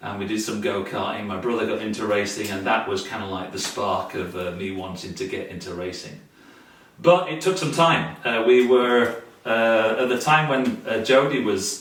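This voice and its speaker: A man speaks at a moderate pace and medium pitch, with ordinary pitch variation. Noticeable background noise and audible room echo are present. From Britain (Yorkshire). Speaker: amateur vintage racer. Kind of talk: casual interview. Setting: home garage. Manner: halting, many fillers.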